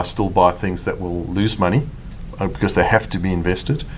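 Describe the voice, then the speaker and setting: A man with a South African accent speaks at a fairly quick pace, his pitch fairly low and its variation ordinary. Noticeable background noise runs underneath. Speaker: fund manager. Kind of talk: interview.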